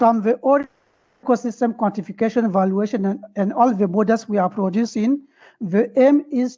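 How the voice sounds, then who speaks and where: A woman speaks at a fairly high pitch with a dark, mellow tone and a somewhat breathy voice. Her pitch variation is ordinary, and the background is quiet. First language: French. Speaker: webinar participant asking a question. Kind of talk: question in online webinar discussion. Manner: halting.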